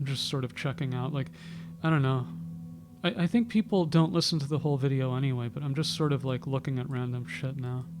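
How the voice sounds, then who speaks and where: A man talks very fast with lively intonation while music plays in the background. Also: fairly high pitch for a man. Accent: American. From New York City. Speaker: YouTuber. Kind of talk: casual monologue. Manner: halting.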